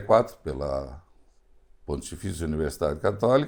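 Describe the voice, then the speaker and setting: There's vocal fry in this man's voice. His pitch swings very wide. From southern Brazil, Rio Grande do Sul (Encantado). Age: 70s. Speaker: foundation engineer. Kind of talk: interview.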